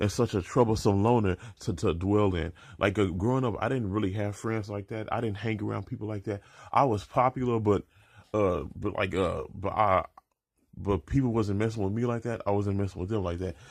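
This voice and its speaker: In a very clean recording with a silent background, a man with a fairly low voice speaks with fairly even intonation. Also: fairly quick pace. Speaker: vlogger and amateur comic artist. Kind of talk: personal video blog. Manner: halting, many repetitions and fillers.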